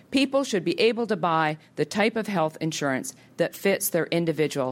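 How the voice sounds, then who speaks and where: A woman speaks in a plain, everyday voice with a Canadian accent, fairly low in pitch with lively intonation at a moderate pace. The recording is very clean, with a silent background. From Canada. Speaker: health policy think tank head. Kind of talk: public policy talk. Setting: auditorium with audience.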